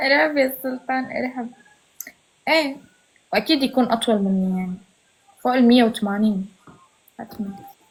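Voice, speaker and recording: A woman with a Syrian accent speaks in a high voice, leaving long, frequent pauses. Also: ordinary pitch variation, moderate pace. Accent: Syrian Levantine Arabic. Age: 20s. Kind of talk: casual live-stream chat.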